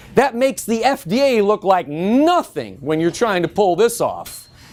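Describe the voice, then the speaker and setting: A loud man's voice at a moderate pace with very wide pitch swings, over noticeable background noise. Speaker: natural health industry educator. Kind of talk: lecture.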